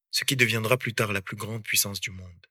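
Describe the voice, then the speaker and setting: A man's bright, sharp tone at medium pitch with fairly even intonation. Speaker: podcaster. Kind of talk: scripted narration.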